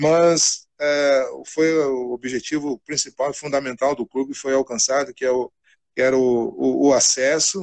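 This is a plain, everyday voice with fairly even intonation and a fairly slow pace. The sound is dry and close, with no echo. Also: man, fairly high pitch for a man. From Rio Grande do Sul, Brazil (Cachoeira do Sul). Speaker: football coach. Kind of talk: casual interview.

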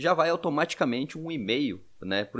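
Fairly high in pitch, a man's voice shows vocal fry and lively intonation at a fairly quick pace. The recording is very clean with a silent background. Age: 30s. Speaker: podcast host, financial educator. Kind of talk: casual chat.

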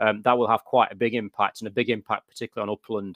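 Against a quiet background, a man talks at a very fast pace. His fairly low voice is monotone, with flat intonation. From northern England. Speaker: national park chief executive. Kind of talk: interview. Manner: halting, many fillers and repeats.

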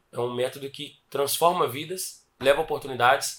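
An ordinary speaking voice from a man, fairly high in pitch with fairly even intonation. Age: 20s. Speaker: gym franchise owner. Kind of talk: interview.

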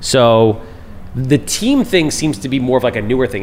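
Lively intonation at a moderate pace comes through noticeable background noise. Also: man. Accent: American. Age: 40s. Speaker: podcast host, real estate investor. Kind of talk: casual chat.

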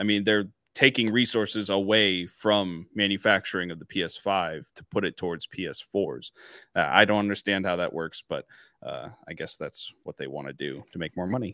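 A normal speaking voice from a man, fairly low in pitch with ordinary pitch variation and a moderate pace, in a very clean, dry, close recording with no echo and a silent background. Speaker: podcast co-host. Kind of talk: casual chat.

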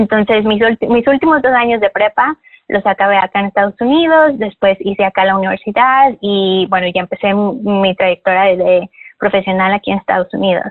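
A woman speaks in an ordinary speaking voice at a medium pitch. Her pace is fairly quick, with ordinary pitch variation. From Mexico. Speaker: yoga teacher. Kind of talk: interview.

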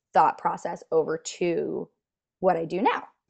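Medium-pitched woman's voice with an American accent at a moderate pace. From US. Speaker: dicemaker. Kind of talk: casual interview chat. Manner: warm, chatty.

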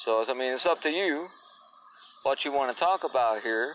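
A man speaks at medium pitch. His intonation is lively. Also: moderate pace, fairly bright tone.

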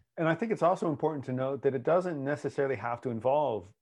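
A man with an American accent, medium pitch, lively intonation and a very fast pace, over a quiet background. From US. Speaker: podcast co-host and relationship coach. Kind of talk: casual podcast conversation. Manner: laughing, playful.

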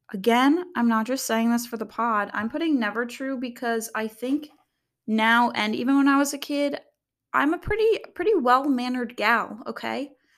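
On a very clean recording with a silent background, a woman speaks in a high pitch with ordinary variation. Her tone is animated and her pace moderate. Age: 20s. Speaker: content creator and podcast host. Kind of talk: casual solo monologue. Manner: rambling, filler-heavy, animated.

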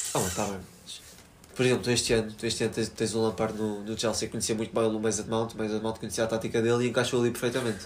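A man talks very fast at medium pitch, his intonation monotone and flat. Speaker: podcast co-host. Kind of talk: casual chat. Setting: recording together with a single recorder.

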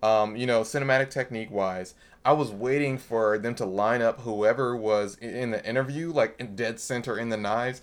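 With an American accent, a man speaks in an ordinary speaking voice at medium pitch, keeping a moderate pace and fairly even intonation on a very clean recording with a silent background. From Milwaukee, Wisconsin. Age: 30s. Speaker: filmmaker and graphic designer. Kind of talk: casual chat.

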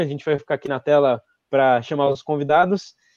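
At a fairly quick pace, a man with a fairly high pitch talks in an ordinary speaking voice. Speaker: event organizer. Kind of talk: event hosting.

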